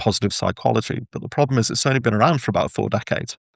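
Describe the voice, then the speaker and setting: A man with an English accent talking at a very fast pace with ordinary pitch variation. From England. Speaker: workplace engagement consultant and author. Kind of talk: podcast interview. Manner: hesitant with repetitions.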